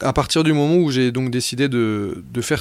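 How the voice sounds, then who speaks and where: A man's medium-pitched voice with ordinary pitch variation at a fairly slow pace. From Brittany, France. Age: 30s. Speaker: amateur athlete and adventurer. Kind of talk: personal testimony narration. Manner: halting, with frequent repetitions and fillers.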